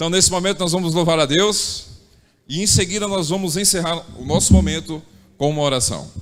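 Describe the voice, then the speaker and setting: Audible room echo surrounds a man speaking at a fairly quick pace. His pitch is high. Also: ordinary pitch variation. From Bahia, Brazil. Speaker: church service leader. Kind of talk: church announcements. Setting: church. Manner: warm, informal.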